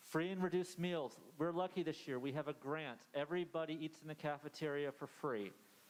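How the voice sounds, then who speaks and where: The speaker is a man with an American accent and a fairly high pitch. He talks at a fairly quick pace with fairly even intonation. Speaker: school principal. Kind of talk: presentation to parents. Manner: fast.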